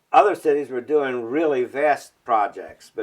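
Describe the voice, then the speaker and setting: Using an American accent, a man speaks at a fairly slow pace with ordinary pitch variation. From Baltimore, Maryland. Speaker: architectural historian. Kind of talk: oral history interview answer. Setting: at home.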